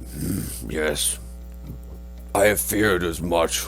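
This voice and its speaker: This put-on character voice is raspy and very slow, its pitch swinging very widely against clear background noise. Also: man. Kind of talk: formal lordly speech. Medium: actual play. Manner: measured, stately, deliberate.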